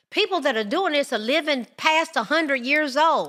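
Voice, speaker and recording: With a bright, sharp tone and an American accent, the voice moves at a moderate pace through very wide pitch swings on a very clean recording with a silent background. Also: woman. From United States. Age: 60s. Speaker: podcast host. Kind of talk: podcast monologue.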